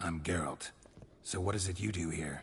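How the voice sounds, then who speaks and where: Putting on a character voice, a man speaks at a moderate pace in a raspy, very deep, low register. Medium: video game. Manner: terse, dry.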